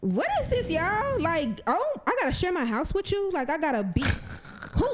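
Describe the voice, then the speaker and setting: A woman's extremely high voice with very wide pitch swings, moderate pace, noticeable background noise. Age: 30s. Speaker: podcast co-host, community organizer. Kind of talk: casual chat.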